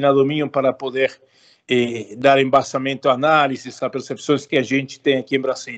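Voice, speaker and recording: Talking at a fairly quick pace, a man with an Argentine accent keeps his intonation fairly even. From Argentina. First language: Spanish (speaking Portuguese). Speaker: political consultant, political scientist. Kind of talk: interview. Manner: halting, with self-corrections and fillers.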